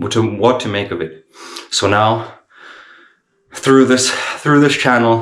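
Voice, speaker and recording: Moderate speed, normal pitch movement and some audible room echo in a man's speech. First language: not English. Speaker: vlogger in addiction recovery. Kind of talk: casual vlog monologue. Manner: halting, with self-corrections.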